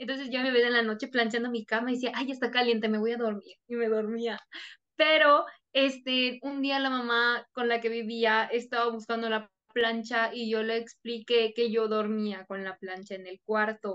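Using a Mexican accent, a woman with a fairly high pitch speaks at a moderate pace in a monotone, flat intonation. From Mexico. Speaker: Spanish teacher. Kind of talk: interview.

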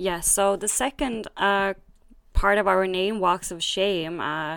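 A woman speaks with a Swedish accent. The recording is very clean, with a silent background. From Sweden. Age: 20s. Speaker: podcast co-host. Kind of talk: casual chat.

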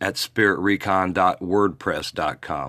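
Over a silent background in a very clean recording, a man with a Midwestern American accent speaks at a fairly slow pace with a very deep, low pitch. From Indiana. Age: 50s. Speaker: paranormal investigator and podcast host. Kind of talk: podcast monologue. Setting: recorded on location.

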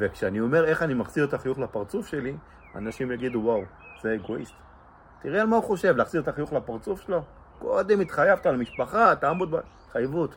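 This man talks at a fairly quick pace. His fairly high pitch moves through very wide swings. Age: 40s. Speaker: blind balloon artist. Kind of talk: personal testimony interview.

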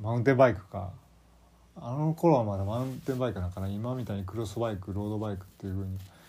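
A man with a strong Kansai accent speaks at a very fast pace in a fairly low, dark, mellow tone, somewhat breathy. His pitch varies in an ordinary way, with audible room echo around him. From Kansai, Japan (moved from Kanto at age 5). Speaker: solo podcast host. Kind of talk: casual solo talk. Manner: halting, many fillers.

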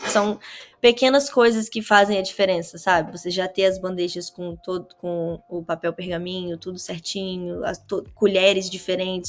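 A woman uses an ordinary speaking voice at a medium pitch and moderate pace, with fairly even intonation. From Brazil, Vitória, Espírito Santo. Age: 20s. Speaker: cannabis grower and hashmaker. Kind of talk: casual interview chat.

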